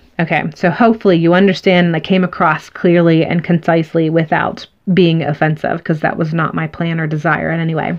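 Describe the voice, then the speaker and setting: Over noticeable background noise, a woman speaks in a monotone, flat voice with hardly any pauses. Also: fairly low pitch for a woman. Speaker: tarot reader. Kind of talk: tarot reading to camera. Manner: halting, many fillers.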